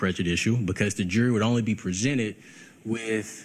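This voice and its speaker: The man's voice sits fairly low. He talks at a very fast pace. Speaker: defense attorney. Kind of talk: courtroom argument. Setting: courtroom.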